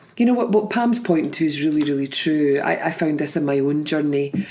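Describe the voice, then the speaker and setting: Over noticeable background noise, a woman speaks at a fairly quick pace. Her voice is very deep and low, in a Scottish accent. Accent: Scottish lilt. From Scotland. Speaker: podcast host and life coach. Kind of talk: casual podcast conversation.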